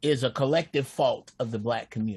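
The man sounds somewhat breathy. His speech moves at a moderate pace. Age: 50s. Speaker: caller. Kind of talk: casual chat.

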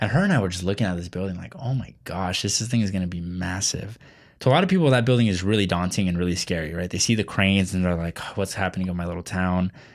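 On a very clean recording with a silent background, a man with an American accent speaks very fast, with a very deep, low pitch and ordinary pitch variation. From Texas. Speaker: local news podcast host. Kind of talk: interview. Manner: halting, many fillers.

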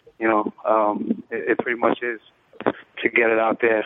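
In a New York accent, a man talks with a monotone, flat intonation. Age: 30s. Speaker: fantasy sports blogger and firefighter. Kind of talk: casual chat.

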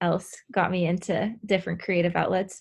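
In a Californian accent, a woman speaks at a moderate pace. Her pitch is medium and her intonation fairly even. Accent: Californian American. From Southern California. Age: 20s. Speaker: former college soccer player recovering from injury. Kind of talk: interview.

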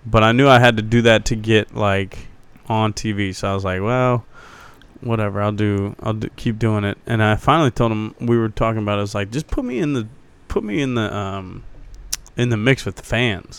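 In a plain, everyday voice, a man with an American accent speaks fairly quickly at a fairly low pitch with fairly even intonation. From Ohio, Cincinnati. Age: 30s. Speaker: stand-up comedian. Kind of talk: casual chat.

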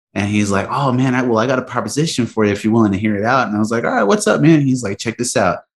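Very fast speech with hardly any pauses from a man with an American accent at medium pitch. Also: ordinary pitch variation. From Texas, Mexican border area. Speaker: band drummer. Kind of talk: casual chat.

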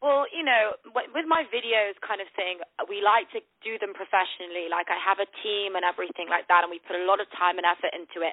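Speaking at a moderate pace, a woman talks with a British accent. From northern England; Manchester. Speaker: TV host and influencer. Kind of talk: casual phone interview. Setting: phone call. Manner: upbeat, friendly.

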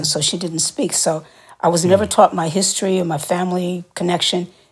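A woman talks at a fairly quick pace with an American accent. Hers is a normal speaking voice. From New York City. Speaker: singer and actor. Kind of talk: interview.

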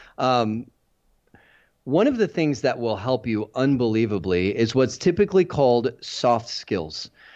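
Against a quiet background, an ordinary speaking voice carries lively intonation. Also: man. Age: 40s. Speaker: IT certification trainer. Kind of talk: casual chat.

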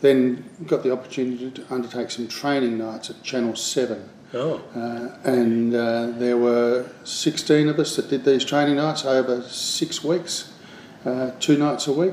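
Speaking at a fairly slow pace with an Australian accent, the voice keeps a fairly even intonation over noticeable background noise. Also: man, medium pitch for a man. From Australia, Adelaide. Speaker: television producer. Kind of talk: interview.

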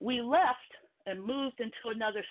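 A woman's high-pitched voice with an American accent, at a moderate pace. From Philadelphia. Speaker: caller. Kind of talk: call-in talk radio discussion.

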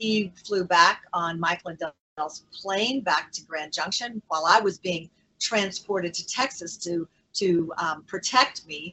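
A woman's ordinary speaking voice at a medium pitch, with lively intonation. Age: 60s. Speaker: guest, political prisoner, former county clerk. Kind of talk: interview. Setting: video call.

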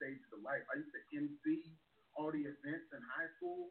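A man talks with a slight Baltimore accent. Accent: slight Baltimore twang. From Baltimore, Maryland. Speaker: stand-up comedian. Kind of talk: casual interview chat.

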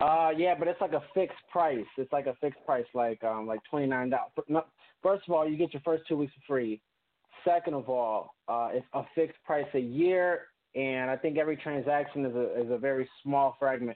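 A man with a fairly high pitch uses a normal speaking voice, moderate pace and ordinary pitch variation. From Puerto Rican heritage, US. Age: 20s. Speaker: former rapper turned businessman. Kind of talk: casual interview. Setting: phone call.

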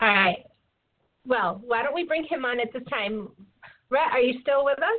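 A woman with a high pitch talks at a moderate pace, her intonation lively and her pauses long and frequent. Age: 40s. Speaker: podcast co-host. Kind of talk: casual chat.

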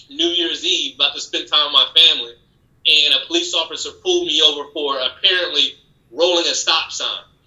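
This is a plain, everyday voice. Its intonation stays fairly even. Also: man, fairly high pitch for a man. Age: 30s. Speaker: law enforcement officer. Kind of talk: casual chat.

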